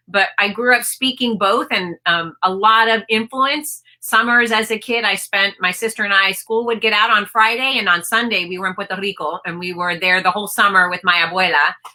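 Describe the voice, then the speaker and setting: With an American accent, a woman talks at a moderate pace and medium pitch, with ordinary pitch variation and hardly any pauses. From US, Maryland. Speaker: author. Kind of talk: interview. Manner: hesitant, many fillers.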